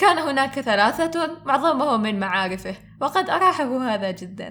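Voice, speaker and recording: A woman is speaking. Her pitch swings very widely. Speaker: aspiring voice-over artist. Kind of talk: humorous story narration. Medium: read story.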